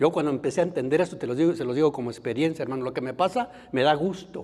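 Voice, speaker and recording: This man's voice is fairly high. His intonation moves in a lively way. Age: 60s. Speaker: Bible course teacher. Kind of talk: lecture.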